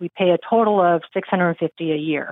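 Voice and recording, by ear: In a dry, close sound with no echo, a woman talks at a fairly quick pace with a fairly low pitch and ordinary pitch variation.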